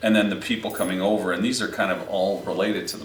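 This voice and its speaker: Audible room echo surrounds a male voice. Noticeable background noise is present too. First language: Aramaic (Sureth). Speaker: podcast host. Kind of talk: casual chat.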